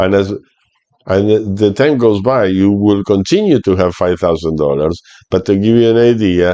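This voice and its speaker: A man speaks at a moderate pace with a very deep, low pitch. His tone is dark and mellow, and his pitch variation is ordinary. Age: 60s. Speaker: retirement finance youtuber. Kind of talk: tutorial. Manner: halting.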